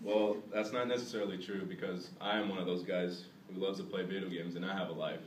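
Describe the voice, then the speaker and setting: A man's fairly low voice at a very fast pace with fairly even intonation, amid audible room echo and noticeable background noise. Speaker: college student giving a class speech. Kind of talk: classroom speech. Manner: halting.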